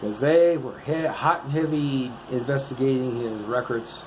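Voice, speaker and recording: A man with a fairly high pitch speaks at a moderate pace with ordinary pitch variation. There is noticeable background noise and audible room echo. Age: 60s. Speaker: vlogger. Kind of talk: casual monologue to camera. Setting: motel room. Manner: rambling, halting with fillers.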